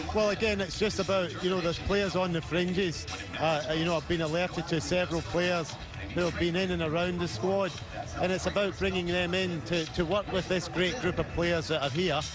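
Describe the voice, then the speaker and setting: Speaking fairly quickly with a Scottish accent, a man's high voice holds fairly even intonation and very even loudness, with audible room echo and noticeable background noise. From Scotland. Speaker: football coach. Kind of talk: interview. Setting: stadium. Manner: halting.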